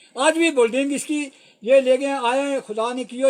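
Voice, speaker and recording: A man's voice at an extremely high pitch. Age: 80s+. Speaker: village elder. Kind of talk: public appeal to officials. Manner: halting.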